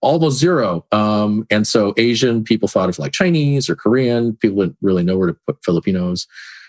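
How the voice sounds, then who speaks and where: In a normal speaking voice, a man talks at a fairly quick pace with a fairly low pitch, lively intonation and hardly any pauses, in a dry, close sound with no echo. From California, born in the Philippines. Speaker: statistician. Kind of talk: casual interview.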